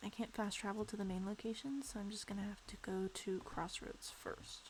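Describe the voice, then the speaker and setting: Quiet and somewhat breathy, the voice moves at a moderate pace with fairly even intonation. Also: woman, medium pitch for a woman. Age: 20s. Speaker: video game streamer. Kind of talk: casual gameplay stream chat. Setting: bedroom in parents' house, live stream.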